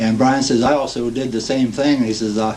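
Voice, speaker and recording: Noticeable background noise sits behind a speaker with a Midwestern US accent and fairly even intonation. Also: man. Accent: US Midwest. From Ohio. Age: 60s. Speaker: war veteran. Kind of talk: oral history testimony. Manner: halting, many fillers.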